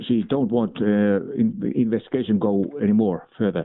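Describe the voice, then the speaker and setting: In a Finnish accent, a man talks at a fairly slow pace in a fairly low voice with ordinary pitch variation. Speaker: police officer. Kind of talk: phone call. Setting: phone call. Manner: halting.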